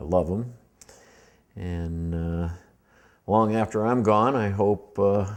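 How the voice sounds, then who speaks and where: With an American accent, a man speaks at a very slow pace and a fairly low pitch, using ordinary pitch variation and long, frequent pauses. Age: 60s. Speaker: war veteran. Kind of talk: personal life-story interview. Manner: halting, many fillers.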